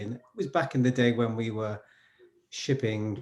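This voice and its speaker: Somewhat breathy, a man speaks with a dark, mellow tone and ordinary pitch variation. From northern England, Newcastle. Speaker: SRE coach. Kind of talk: interview conversation.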